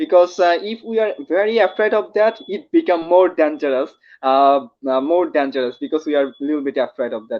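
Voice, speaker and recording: At a moderate pace, a man with a Bengali accent speaks at a high pitch. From Bangladesh. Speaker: YouTube host. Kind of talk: interview. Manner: halting.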